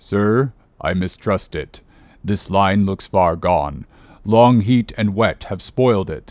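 Using a put-on character voice, a man speaks at a fairly slow pace, his pitch fairly low with ordinary variation. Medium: read story. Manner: cautious, respectful.

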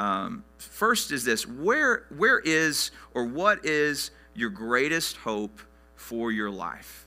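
Very wide pitch swings mark a man's bright, sharp tone. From Arkansas. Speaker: pastor. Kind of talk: sermon.

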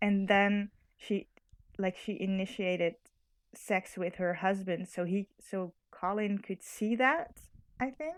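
A woman speaks with a Dutch accent at a very slow pace. Her pitch is medium, with ordinary variation. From Netherlands. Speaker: podcast guest. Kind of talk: casual chat.

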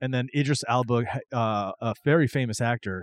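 A man speaks with a normal speaking voice at a medium pitch and moderate pace. The sound is dry and close with no echo, over a quiet background. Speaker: podcast co-host. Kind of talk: casual chat. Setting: remote recording.

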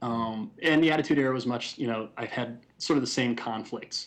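A man of medium pitch with vocal fry talks at a fairly quick pace, his pitch varying in an ordinary way. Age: 30s. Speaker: comic book writer. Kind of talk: casual chat.

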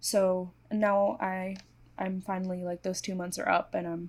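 A woman's somewhat breathy voice sits at a medium pitch at a moderate pace. The recording is very clean, with a silent background. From Hong Kong. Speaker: illustrator. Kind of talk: casual chat.

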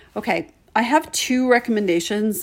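The speaker has a plain, everyday voice with ordinary pitch variation and a fairly slow pace. The recording is very clean, with a silent background. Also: woman. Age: 50s. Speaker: podcast host. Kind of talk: solo casual monologue.

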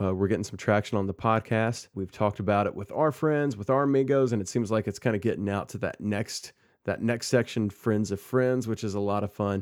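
This man has an unremarkable speaking voice, fairly low in pitch, with ordinary pitch variation. He talks at a fairly quick pace on a very clean recording with a silent background. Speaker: podcast host. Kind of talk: casual chat. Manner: playful.

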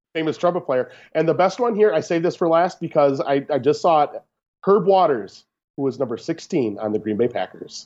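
A man with a normal speaking voice talks at a fairly quick pace, pitched fairly high. His intonation is lively, and the background is quiet. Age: 30s. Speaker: podcast guest, host's brother. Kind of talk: casual chat. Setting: Skype call.

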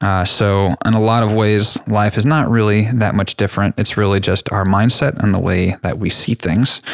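Here a man has an unremarkable speaking voice, fairly low in pitch, with an American accent. He talks at a moderate pace with fairly even intonation and very even loudness. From Texas, Dallas area. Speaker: podcast host. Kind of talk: scripted outro; casual chat.

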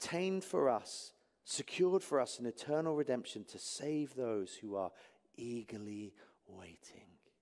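A man with an English accent, very wide pitch swings and big swings in loudness. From England.

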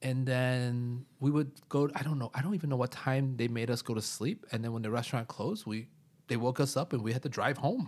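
In a normal speaking voice, a man speaks at a fairly quick pace with medium pitch and ordinary pitch variation. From US Midwest, Chicago. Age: 30s. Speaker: computer science teacher. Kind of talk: casual chat. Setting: living room.

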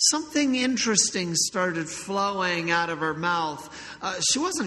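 Lively intonation across a natural reading voice

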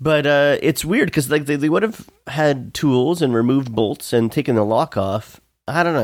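With an ordinary speaking voice, a man talks at a moderate pace and fairly high pitch with lively intonation, captured in a very clean recording with a silent background. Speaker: podcast host.

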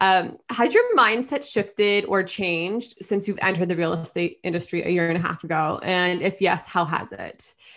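Here a woman has a normal speaking voice at a medium pitch with ordinary pitch variation. She keeps a moderate pace with hardly any pauses. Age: young. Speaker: podcast host. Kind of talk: interview.

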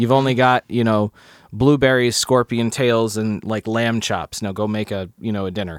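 A man speaks in an unremarkable speaking voice at a medium pitch and moderate pace, with fairly even intonation and a dry, close sound with no echo. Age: 30s. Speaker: podcast guest, friend of host. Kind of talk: casual chat.

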